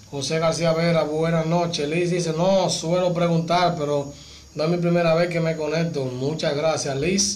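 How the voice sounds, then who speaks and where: The speech moves at a fairly slow pace with light background noise. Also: man. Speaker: car channel host. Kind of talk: casual live stream chat. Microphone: phone near.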